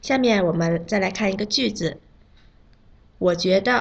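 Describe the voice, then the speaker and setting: At a fairly slow pace, a woman talks in a somewhat breathy voice of medium pitch with ordinary pitch variation. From China. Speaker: Chinese pronunciation teacher. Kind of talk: language lesson. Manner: slow, clear enunciation.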